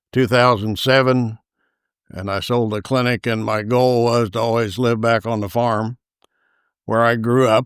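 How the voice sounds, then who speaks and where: On a very clean recording with a silent background, a man with an American accent speaks at a medium pitch and a fairly slow pace in a flat, monotone way. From Indiana, rural Carroll County. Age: 80s+. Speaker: retired veterinarian. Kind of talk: casual interview, life story. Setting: at home on family farm. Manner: hesitant, many fillers.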